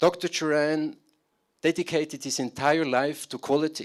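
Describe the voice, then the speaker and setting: A man with a German accent speaks in a fairly high pitch. The recording is very clean, with a silent background. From Switzerland. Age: 50s. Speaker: business consultant. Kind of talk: conference talk. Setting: stage with audience. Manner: halting.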